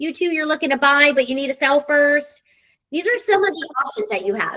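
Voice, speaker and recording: A woman's high, raised and projected voice at a fairly quick pace, with lively intonation. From military brat, moved around. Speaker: real estate sales director. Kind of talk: live webinar presentation. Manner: fast.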